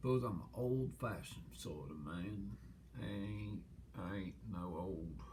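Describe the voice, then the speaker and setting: With vocal fry and a very deep, low pitch, a man speaks at a fairly slow pace, his pitch swinging very widely in a room with audible echo. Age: 70s. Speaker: interviewee. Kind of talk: casual interview. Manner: halting, many restarts.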